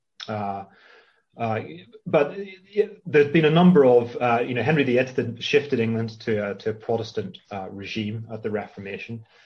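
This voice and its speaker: Somewhat breathy, the voice moves at a moderate pace with lively intonation. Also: man, medium pitch for a man. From Northern Ireland, Belfast. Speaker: literature professor. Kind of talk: interview. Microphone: connection cut out briefly.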